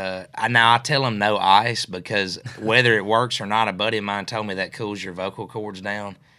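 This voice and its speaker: A man speaks at a moderate pace in a West Tennessee accent, his fairly low voice bright and sharp, with hardly any pauses. His intonation is flat and monotone, and the recording is very clean with a silent background. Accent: West Tennessee Southern US. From West Tennessee (Mercer, near Jackson). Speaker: singer-songwriter. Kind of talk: casual interview chat. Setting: studio.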